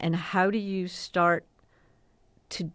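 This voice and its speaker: This woman has a normal speaking voice, medium in pitch and moderate in pace, on a very clean recording with a silent background. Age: 60s. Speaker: communications executive, former TV station president. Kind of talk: podcast interview.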